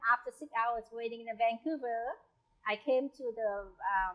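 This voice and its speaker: At a moderate pace, a woman speaks in a high pitch with a bright, sharp tone and ordinary pitch variation. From South Vietnam. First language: Vietnamese. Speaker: home cook sharing migration story. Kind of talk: personal storytelling. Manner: halting.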